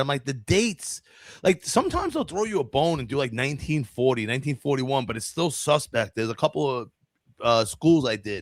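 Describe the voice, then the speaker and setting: A man talks very fast with a New York accent, his pitch swinging very widely. The recording is very clean and dry, close-up with no echo and a silent background. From New York City. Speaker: podcast host. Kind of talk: casual chat. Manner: loud, energetic.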